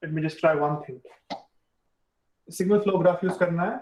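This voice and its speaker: A man talks with a dark, mellow tone. His pitch varies in an ordinary way. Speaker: university lecturer. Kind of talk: lecture. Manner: fast.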